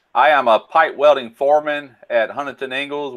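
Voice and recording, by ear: The tone is clear, smooth and fairly bright. The pace is moderate. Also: man.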